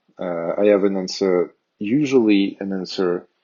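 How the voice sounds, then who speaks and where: A man with a strong French accent, fairly low in pitch, with fairly even intonation. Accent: thick French. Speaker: tech tutorial youtuber. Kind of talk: tutorial. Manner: hesitant, many fillers.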